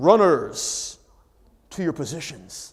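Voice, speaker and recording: A man does a booming, put-on character voice on a very clean recording with a silent background. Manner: big, booming, commanding.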